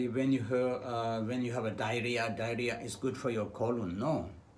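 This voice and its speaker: A man talks at a moderate pace with fairly even intonation, and the room echo is audible. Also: hardly any pauses. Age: 70s. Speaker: traditional medicine doctor. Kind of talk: health talk. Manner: hesitant, with fillers.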